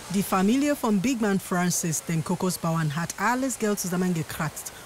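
Noticeable background noise beneath fairly slow speech. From Nigeria. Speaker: documentary narrator. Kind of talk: documentary narration.

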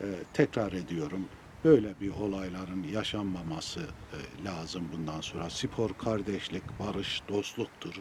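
A man's very deep, low voice at a very slow pace, with ordinary pitch variation and big swings in loudness over noticeable background noise. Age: 70s. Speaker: former footballer. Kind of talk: memorial statement to press.

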